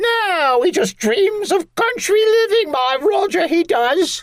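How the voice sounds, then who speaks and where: A man puts on a character voice with an extremely high pitch. He speaks at a fairly slow pace. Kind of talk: comic overacting. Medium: audio drama. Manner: chattering, dismissive.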